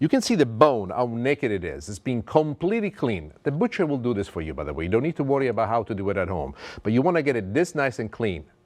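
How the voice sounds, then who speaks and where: In an Italian accent, a man with a medium-pitched voice talks very fast with hardly any pauses, his animated tone rising and falling in very wide pitch swings. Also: quiet background. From Italy. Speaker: TV chef. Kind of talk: cooking show presentation.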